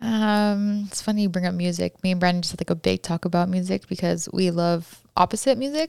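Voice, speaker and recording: Mumbling at a medium pitch with an American accent, a woman speaks in an animated tone with ordinary pitch variation and hardly any pauses, in a dry, close sound with no echo on a very clean recording with a silent background. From California. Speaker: podcast guest and coworker. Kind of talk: casual interview chat. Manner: fast talker, mumbles; animated, laughs often.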